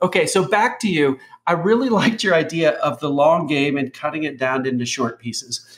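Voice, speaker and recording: A man in an ordinary speaking voice, pitched fairly high, talks at a moderate pace with lively intonation against a quiet background. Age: 50s. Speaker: interview host. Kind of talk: scripted narration; interview. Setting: video call. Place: home room. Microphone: video call.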